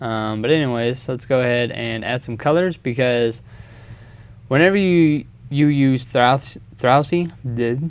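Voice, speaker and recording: Mumbling, a man speaks at a fairly slow pace. His pitch is medium, with ordinary variation. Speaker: video editing tutorial maker. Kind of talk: tutorial. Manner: casual, hesitant with many ums.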